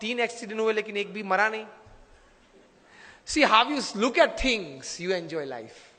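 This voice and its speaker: Over noticeable background noise, a man with a high pitch uses a raised, projected voice and lively intonation, leaving long, frequent pauses. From India, Gujarat. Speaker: motivational speaker and spiritual leader. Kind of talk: motivational speech.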